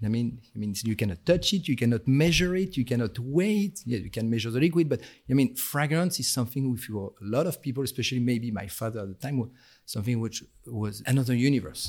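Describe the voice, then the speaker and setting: A man with a French accent talks at a very fast pace in a medium pitch, his intonation lively. The recording is very clean, with a silent background. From France. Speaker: senior perfumer guest. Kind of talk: interview conversation. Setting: studio. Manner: hesitant, with fillers.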